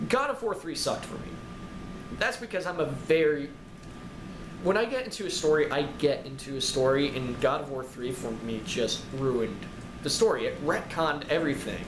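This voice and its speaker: Audible room echo and noticeable background noise surround a man's voice. He has a fairly high pitch, lively intonation and a moderate pace. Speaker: game reviewer. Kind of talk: rant review. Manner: loud, yelling.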